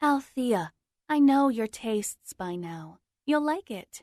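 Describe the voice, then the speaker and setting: A female-sounding put-on character voice is pitched high. It moves at a fairly slow pace. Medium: read story.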